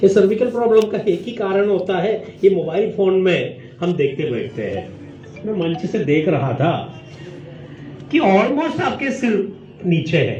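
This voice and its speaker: A man with a Malayali accent, high in pitch, with very wide pitch swings, noticeable background noise and audible room echo. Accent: Malayali-accented Hindi. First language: Malayalam (speaking Hindi). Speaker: professor. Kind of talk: lecture. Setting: stage with student audience.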